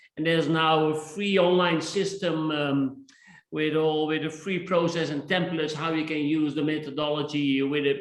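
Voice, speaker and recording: Speaking in a flat monotone at a moderate pace, a man with a Dutch accent has a fairly high pitch. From Netherlands. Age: 60s. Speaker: innovation speaker and author. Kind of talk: interview.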